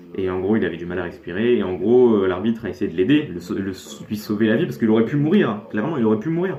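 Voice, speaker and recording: Speech comes at a very fast pace amid noticeable background noise and audible room echo. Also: man. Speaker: youtuber reacting to videos. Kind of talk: casual video reaction commentary. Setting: facecam recording at home. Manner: halting, stuttering.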